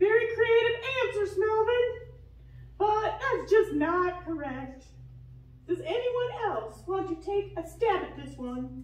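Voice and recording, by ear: In a cartoonish character voice, a woman speaks slowly at an extremely high pitch with lively intonation and audible room echo.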